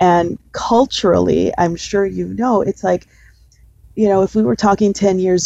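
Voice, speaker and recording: At a fairly slow pace, a woman speaks in a dry, close sound with no echo. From East Los Angeles, US. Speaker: bank relationship manager. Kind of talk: interview.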